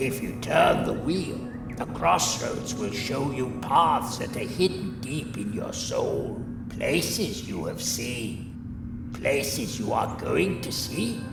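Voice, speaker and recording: A cartoonish character voice speaks at a very slow pace with slight echo and loud background noise. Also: man, medium pitch for a man. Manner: calm, modest.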